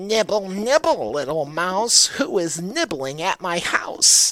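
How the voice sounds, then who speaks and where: A put-on character voice at a middle pitch. It moves along at a fairly slow pace. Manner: gentle.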